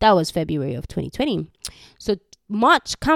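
In a Ugandan accent, a woman speaks in an animated tone, the sound dry and close with no echo on a very clean recording over a silent background. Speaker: faith podcaster. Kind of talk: personal testimony with prayer. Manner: casual, filler-heavy.

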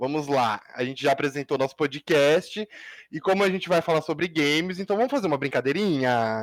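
On a very clean, dry, close recording with no echo and a silent background, a man with a fairly high voice speaks at a fairly quick pace with ordinary pitch variation. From Brazil. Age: 20s. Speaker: podcast co-host, information security student. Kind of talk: casual chat. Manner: animated.

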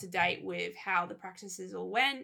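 A woman with an Australian accent speaks in a bright, sharp tone with vocal fry, on a very clean recording with a silent background. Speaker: podcast co-host. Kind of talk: casual chat.

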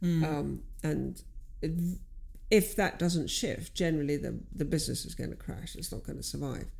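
Audible room echo surrounds the voice. A woman speaks with big swings in loudness. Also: moderate pace. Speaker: business owner and coach. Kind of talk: casual chat.

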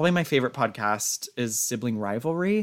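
An ordinary speaking voice belongs to a man at medium pitch, recorded very cleanly against a silent background. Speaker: music theater student. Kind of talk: casual chat.

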